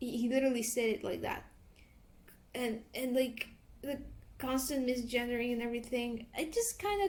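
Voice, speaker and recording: A woman speaks at a high pitch with a non-native accent. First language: not English. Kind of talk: commentary talk to camera. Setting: at home. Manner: slow, hesitant.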